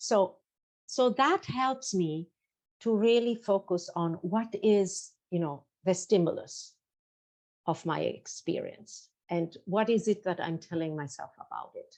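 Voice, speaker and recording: Over a quiet background, a plain, everyday voice moves at a fairly slow pace with lively intonation. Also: woman, medium pitch for a woman. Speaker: nonviolent communication and mindfulness teacher. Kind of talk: interview.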